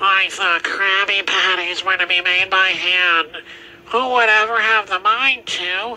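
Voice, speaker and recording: A man speaks in a raised, projected voice with high pitch. His pace is fairly slow and his intonation fairly even. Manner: shocked, indignant, pleading.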